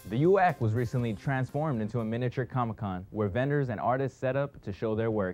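A man at medium pitch with ordinary pitch variation, a very fast pace and hardly any pauses, over faint music in the background. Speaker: news anchor. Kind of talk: campus news anchoring, scripted newsreading. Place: studio.

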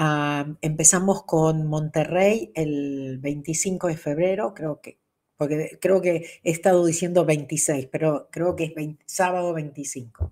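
The voice has a dark, mellow tone and an Argentine accent, moving at a very slow pace. Intonation stays fairly even against a quiet background. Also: woman, very deep, low pitch for a woman. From Argentina. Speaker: spiritual teacher. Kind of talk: livestream talk. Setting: livestream. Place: home room.

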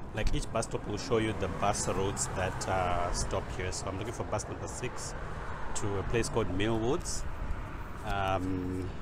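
Loud background noise surrounds a man speaking at a moderate pace with ordinary pitch variation. The sound itself is dry with no echo. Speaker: vlogger. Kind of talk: casual vlog tutorial. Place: street. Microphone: earbuds.

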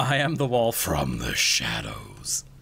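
A man uses a put-on character voice, talking at a fairly slow pace. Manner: spooky, eerie.

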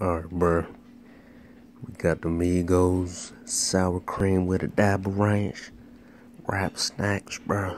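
Very slow and marked by long, frequent pauses, a man's very deep, low voice keeps a monotone, flat intonation over light background noise. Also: dry sound with no echo. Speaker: snack reviewer. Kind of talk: casual vlog chat. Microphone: phone near.

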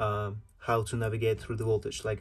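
The voice is somewhat breathy, with light background noise behind it. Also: man. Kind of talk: tutorial. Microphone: phone near.

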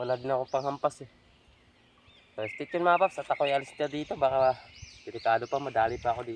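A man's very fast speech with long, frequent pauses and big swings in loudness. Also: medium pitch for a man, ordinary pitch variation. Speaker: hunting vlogger. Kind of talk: vlog narration. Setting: outdoors.

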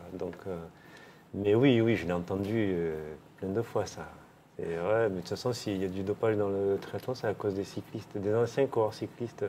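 Against light background noise, a man with a fairly low pitch and dark, mellow tone speaks with fairly even intonation and long, frequent pauses. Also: moderate pace. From southern France, Millau; southern France. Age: 50s. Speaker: former professional cyclist; interviewee. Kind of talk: interview. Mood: calm, reflective, candid. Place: home room. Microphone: lapel.

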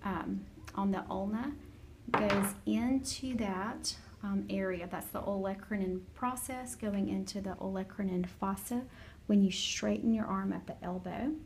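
A woman talks at a fairly slow pace with ordinary pitch variation. Light background noise can be heard. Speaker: anatomy teacher. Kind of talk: lecture. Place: classroom. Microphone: phone near.

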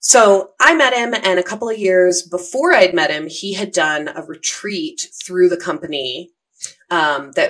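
A woman at a fairly slow pace, lively intonation against a quiet background. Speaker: podcast guest. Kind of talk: storytelling interview answer. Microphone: studio mic.

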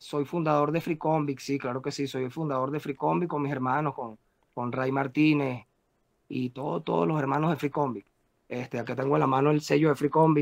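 A man with a Caracas Venezuelan accent, fairly high in pitch, at a fairly quick pace with ordinary pitch variation, over a quiet background. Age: 40s. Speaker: rapper; interviewee. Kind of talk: interview. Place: home room. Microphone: video call.

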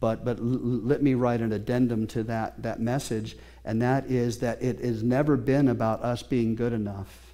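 A man's dark, mellow tone at medium pitch. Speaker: pastor. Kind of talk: sermon. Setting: church with congregation. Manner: animated, preacher in full flow; conversational, interactive with congregation. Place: church.

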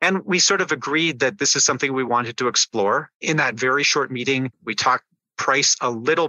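Using an unremarkable speaking voice, a man talks at a fairly quick pace and a medium pitch with ordinary pitch variation. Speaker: business executive and educator. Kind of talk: interview.

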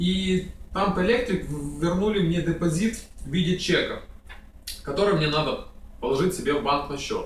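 A man with a high voice speaks at a moderate pace with ordinary pitch variation and long, frequent pauses, with audible room echo and light background noise. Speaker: vlogger. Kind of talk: casual tutorial. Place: home room.

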